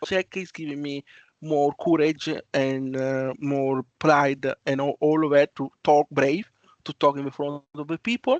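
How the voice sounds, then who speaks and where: A man with an Italian accent speaks at a fairly slow pace with fairly even intonation. The sound is dry and close, with no echo. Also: fairly high pitch for a man. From Italy. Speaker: student volunteer. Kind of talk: online presentation. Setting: video call. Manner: halting.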